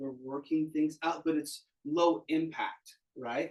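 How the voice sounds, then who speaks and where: Speaking with fairly even intonation, a man shows a plain, everyday voice pitched fairly high. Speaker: tai chi instructor. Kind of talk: class instruction.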